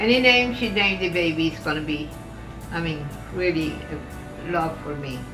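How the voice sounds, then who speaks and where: Music plays in the background as a woman with a fairly low pitch speaks at a moderate pace with lively intonation. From Cuba. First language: Spanish. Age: 80s+. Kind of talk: interview answer. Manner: hesitant.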